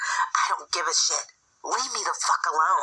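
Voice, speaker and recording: A whispered, put-on character voice. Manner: angry, trying to keep it low.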